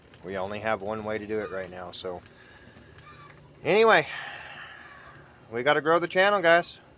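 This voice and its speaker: A man speaks with very wide pitch swings and big swings in loudness. Long, frequent pauses break up his speech over noticeable background noise. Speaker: homesteader vlogger. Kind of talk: casual vlog talk to camera. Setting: outdoors on farm. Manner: halting with many fillers.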